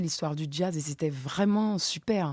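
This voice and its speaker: In a very clean recording with a silent background and a dry, close sound with no echo, a woman speaks in a dark, mellow tone at a moderate pace with ordinary pitch variation. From French Guiana. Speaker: dance teacher. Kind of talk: radio interview. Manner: distinctive, charismatic way of speaking.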